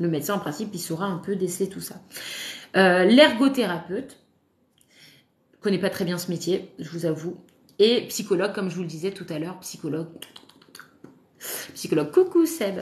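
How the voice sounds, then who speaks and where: At a moderate pace, a woman in an animated tone speaks at medium pitch with ordinary pitch variation, a somewhat breathy sound, big swings in loudness, and long, frequent pauses. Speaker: parenting content creator, mother. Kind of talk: live stream talk. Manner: hesitant, many fillers; casual, animated.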